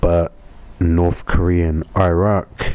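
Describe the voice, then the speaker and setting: A man with a New Zealand accent talks in a very deep, low pitch. His intonation is monotone and flat, and there is noticeable background noise. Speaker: gaming live streamer. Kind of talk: casual live stream chat.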